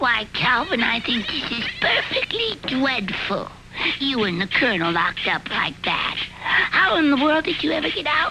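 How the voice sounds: A cartoonish character voice at a high pitch moves at a moderate pace against clear background noise.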